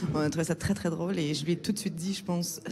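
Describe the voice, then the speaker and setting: A woman speaks at a very fast pace in a dark, mellow tone. Her intonation stays fairly even. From Quebec. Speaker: film director. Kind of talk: interview. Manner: hesitant, many fillers.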